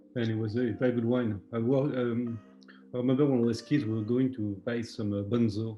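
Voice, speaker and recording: Over music in the background, a man speaks at a fairly quick pace in a medium pitch, his intonation monotone and flat. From France, Loire Valley. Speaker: chef. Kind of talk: cooking explanation in a video call. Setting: video call.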